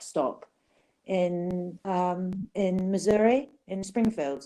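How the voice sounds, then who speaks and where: A woman with an English accent speaks in a dark, mellow tone at a medium pitch with ordinary pitch variation. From England. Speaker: survivor of a youth facility. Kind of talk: interview storytelling. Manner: hesitant with many ums.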